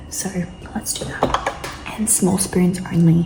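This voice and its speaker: Amid noticeable background noise, a woman speaks in a whisper. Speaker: fitness vlogger. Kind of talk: casual vlog narration. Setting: at home, early morning. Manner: whispering.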